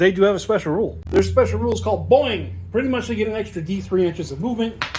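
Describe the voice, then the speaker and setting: A high-pitched man with an American accent, talking at a very fast pace. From US South. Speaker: tabletop gaming youtuber. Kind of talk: tabletop game playthrough narration. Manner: casual, self-correcting.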